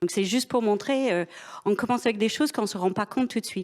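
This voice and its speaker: A woman with an ordinary speaking voice and lively intonation speaks at a medium pitch on a very clean recording with a silent background. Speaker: business executive. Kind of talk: panel discussion.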